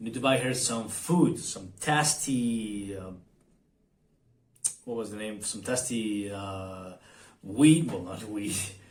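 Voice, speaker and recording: Very slowly and at a medium pitch, a man speaks with long, frequent pauses. His loudness swings widely, and the room echo is audible. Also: ordinary pitch variation. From Argentina. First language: Spanish. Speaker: vlogger. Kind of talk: casual vlog monologue. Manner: halting, many fillers and repetitions.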